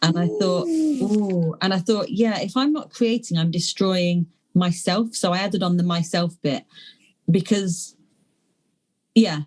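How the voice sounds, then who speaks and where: A woman's somewhat breathy voice at a fairly slow pace, lively in intonation, with long, frequent pauses. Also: medium pitch for a woman. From London, England. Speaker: poet. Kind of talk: interview answer. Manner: hesitant, rambling.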